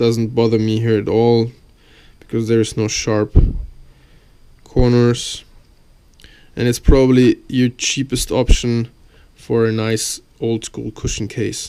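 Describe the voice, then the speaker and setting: Speaking at a fairly slow pace with long, frequent pauses, a man with a non-native accent has a medium pitch, a dark, mellow tone and monotone, flat intonation. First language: not English. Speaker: YouTuber reviewing gear. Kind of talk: product review video. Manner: halting, with fillers.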